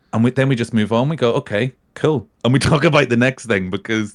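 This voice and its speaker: In a very clean recording with a silent background and a dry, close sound with no echo, a man speaks at a medium pitch and a fairly quick pace with ordinary pitch variation. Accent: Northern Irish. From Northern Ireland. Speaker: podcast guest, gaming community member. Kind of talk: casual chat.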